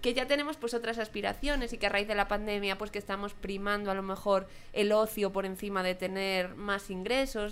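A woman with an ordinary speaking voice talks fairly quickly at a medium pitch, her intonation fairly even. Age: 30s. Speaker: podcast host. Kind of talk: casual chat.

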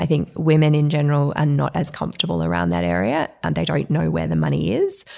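A woman talks at a fairly quick pace in an Australian accent. The recording is very clean with a silent background. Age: 40s. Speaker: entrepreneur. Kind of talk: interview.

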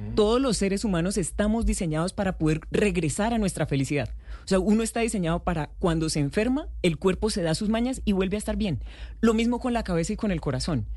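Delivered at a very fast pace in a Santander Colombian accent, the voice has a dark, mellow tone, vocal fry and lively intonation. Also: woman, medium pitch for a woman. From Colombia, Santander. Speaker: happiness coach. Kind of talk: radio interview.

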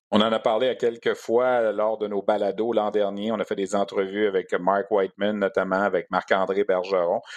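A man with a Quebec accent talks in a fairly low voice, with hardly any pauses. His intonation is monotone and flat. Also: moderate pace. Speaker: sports radio host. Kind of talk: sports podcast interview.

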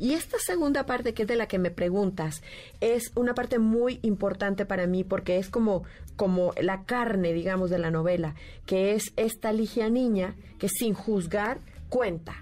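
A woman's dark, mellow tone at medium pitch, fairly slow, with ordinary pitch variation and very even loudness, on a very clean recording with a silent background. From Nicaragua. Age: 50s. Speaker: writer. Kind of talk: radio interview. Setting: radio studio.

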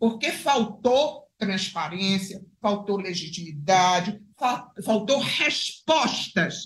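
A woman's somewhat breathy, medium-pitched voice at a very slow pace, with lively intonation. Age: 70s. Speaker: retired judge. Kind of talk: political commentary.

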